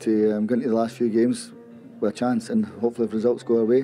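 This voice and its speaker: Over light background noise, a man speaks in a monotone, flat way. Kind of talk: interview answer. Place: stadium. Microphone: handheld.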